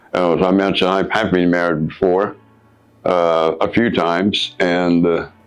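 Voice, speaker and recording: The speech moves at a moderate pace with monotone, flat intonation and very even loudness. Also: man, very deep, low pitch for a man. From Guyana. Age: 70s. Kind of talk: interview answer.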